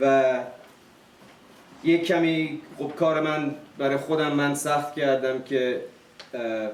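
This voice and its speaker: A man's fairly high-pitched voice at a very slow pace, with long, frequent pauses and fairly even intonation, amid audible room echo and noticeable background noise. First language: Farsi. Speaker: family speaker at a private event. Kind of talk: speech to guests. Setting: event with audience, streamed live. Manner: halting.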